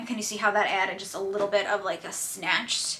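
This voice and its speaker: Speaking in a strong New Jersey accent, a woman keeps a fairly quick pace at medium pitch. Noticeable background noise runs underneath. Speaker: beauty YouTuber. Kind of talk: makeup tutorial chat. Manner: casual, chatty with many fillers.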